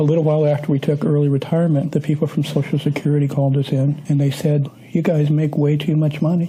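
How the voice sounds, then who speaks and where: Amid noticeable background noise, a man with an American accent talks very fast at a fairly high pitch, his intonation monotone and flat. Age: 60s. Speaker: retired mental health counselor. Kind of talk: interview testimony.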